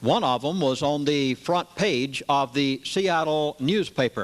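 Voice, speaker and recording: A man's fairly high voice, an ordinary speaking voice with lively intonation. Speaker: pastor. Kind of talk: lecture to a live audience.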